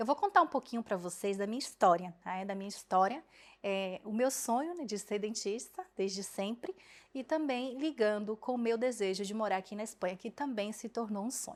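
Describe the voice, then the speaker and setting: A woman with a plain, everyday voice speaks at a moderate pace, her fairly high pitch moving with ordinary variation. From Brazil, Bahia. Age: 20s. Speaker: dentist. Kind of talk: personal story vlog. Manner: casual, conversational.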